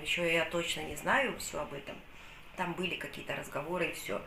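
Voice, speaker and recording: Room echo can be heard around a woman's voice. She talks at a moderate pace with light background noise. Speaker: vlogger. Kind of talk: casual vlog chat. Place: kitchen. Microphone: phone near.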